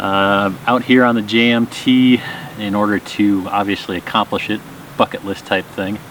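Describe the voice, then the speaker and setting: There is noticeable background noise behind a man's voice. He speaks at a moderate pace with a fairly low pitch and monotone, flat intonation. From Minnesota, US Upper Midwest. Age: 40s. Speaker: pilot and hiker. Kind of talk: casual interview on trail. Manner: hesitant, many fillers.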